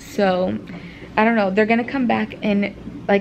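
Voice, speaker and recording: Noticeable background noise runs through the clip. A woman talks over it. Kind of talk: casual vlog chat. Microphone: phone near.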